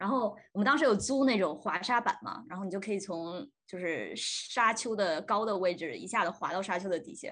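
Talking at a fairly quick pace with hardly any pauses, a woman at medium pitch has an ordinary speaking voice, lively intonation and big swings in loudness. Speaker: podcast host, student. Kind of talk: casual chat.

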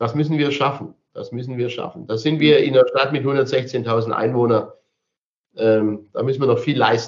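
Using an ordinary speaking voice, this man keeps a medium pitch and fairly even intonation at a moderate pace. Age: 60s. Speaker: mayor. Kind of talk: interview.

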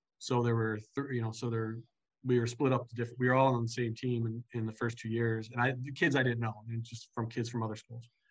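Speaking at a very fast pace, a man has a medium pitch and a somewhat breathy sound. His intonation is flat and monotone. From Michigan, Grand Rapids. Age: 40s. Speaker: softball coach. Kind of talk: casual chat.

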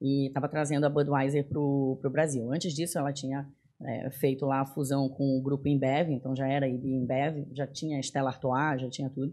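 A woman's very deep, low voice, dark and mellow, in a monotone, flat delivery with hardly any pauses against a quiet background. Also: moderate pace. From Belém, Pará, northern Brazil. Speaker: tech executive. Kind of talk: casual interview. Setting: studio.

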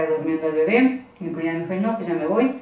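The voice belongs to a woman. The room around her gives off audible echo. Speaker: partner of a paranormal investigator. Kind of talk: casual chat.

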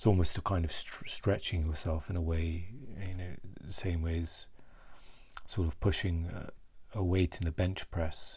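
With a British accent and a very deep, low pitch, a man speaks in a somewhat breathy, monotone, flat way, leaving long, frequent pauses, in a very clean recording with a silent background. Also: moderate pace. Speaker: vlogger. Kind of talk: solo mental health vlog, reflective monologue. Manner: halting, hesitant, many filler words.

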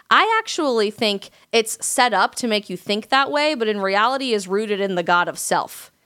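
Speaking at a moderate pace with hardly any pauses, a woman with an American accent uses lively intonation and a fairly high pitch with a bright, sharp tone. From Colorado mountains, US. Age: 20s. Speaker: conservative content creator and commentator. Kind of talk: casual interview.

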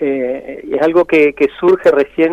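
The sound is dry and close, with no echo, as a man speaks. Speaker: musician and researcher. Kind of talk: radio interview. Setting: radio studio. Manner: halting, with many repetitions.

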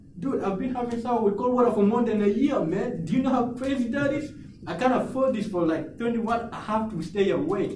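Over noticeable background noise, a man with an extremely high pitch talks at a fairly quick pace with ordinary pitch variation. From grew up in a refugee camp, now lives in Australia. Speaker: motivational speaker, former refugee. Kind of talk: casual interview.

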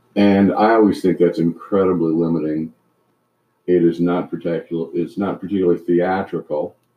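Speaking in an American accent, the man has a very deep, low pitch and a monotone, flat delivery. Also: moderate pace. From Canada and US Midwest. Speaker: retired trial lawyer. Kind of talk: casual chat.

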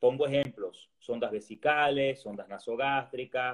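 In an ordinary speaking voice, a man talks at medium pitch and a moderate pace. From Venezuela. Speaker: resident doctor in gastroenterology. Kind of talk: casual interview chat.

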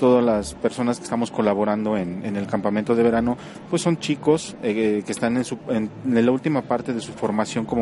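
A man talks at a fairly quick pace in a medium pitch with ordinary pitch variation, and noticeable background noise is present. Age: 30s. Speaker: physical education teacher. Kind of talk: interview.

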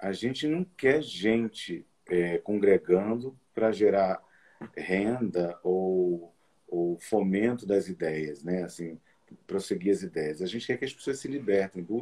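A man at a fairly low pitch, speaking at a very slow pace. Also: ordinary pitch variation. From Brazilian Northeast, Olinda. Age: 40s. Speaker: medium and psychology student. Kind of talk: interview on spirituality. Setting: live stream.

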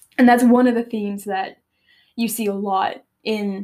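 Intonation stays fairly even in an unforced reading voice. Nothing much is heard in the quiet background.

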